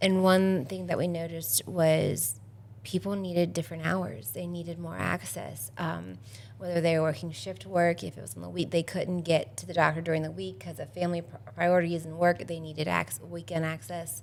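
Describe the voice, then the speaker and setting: In an ordinary speaking voice, a woman with a fairly low pitch talks at a moderate pace, her intonation lively and her loudness swinging widely. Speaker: healthcare organization staff member. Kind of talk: podcast interview.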